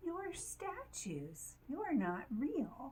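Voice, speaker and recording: A woman's put-on character voice, squeaky and high-pitched, with clear background noise. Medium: read story.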